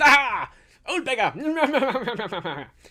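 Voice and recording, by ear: The speaker puts on a character voice. The pitch is high.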